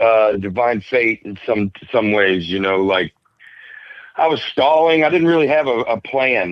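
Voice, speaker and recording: This man speaks with a Southern US accent. His pace is moderate and his pitch varies in an ordinary way. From Alabama, USA. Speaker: stand-up comedian. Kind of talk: podcast interview answer. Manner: casual, hesitant.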